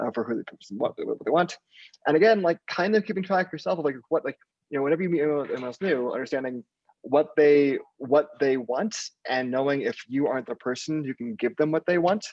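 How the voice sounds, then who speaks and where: A man talks at a very fast pace. His pitch is fairly high and his intonation lively. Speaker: podcast guest. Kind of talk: casual interview conversation.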